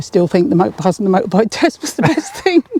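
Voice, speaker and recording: Noticeable background noise runs under a woman talking in an English accent. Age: 60s. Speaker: motorcyclist and taxi driver. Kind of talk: interview. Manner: animated.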